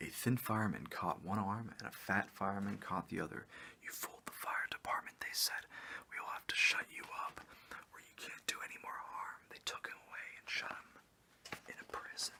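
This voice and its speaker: A man's relaxed whispering at a moderate pace, with big swings in loudness. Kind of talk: children's story read aloud, with joking asides. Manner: casual, relaxed, whispery.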